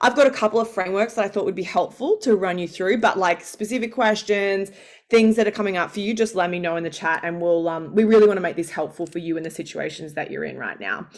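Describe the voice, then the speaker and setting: Speaking at a very fast pace with hardly any pauses, a woman with an Australian accent holds a medium pitch. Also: ordinary pitch variation. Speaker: founder and pay negotiation coach. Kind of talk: live masterclass.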